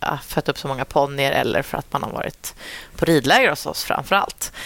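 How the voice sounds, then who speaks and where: With ordinary pitch variation, a woman talks in a very deep, low register. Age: 30s. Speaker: dressage rider and trainer. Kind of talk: casual interview. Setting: at a horse show.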